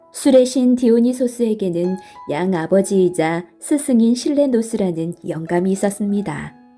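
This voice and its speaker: Over music in the background, a woman speaks at a fairly slow pace in a gentle, calm tone, with a medium pitch and lively intonation. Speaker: storyteller, audiobook reader. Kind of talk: bedtime story narration. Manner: soft, gentle, calm.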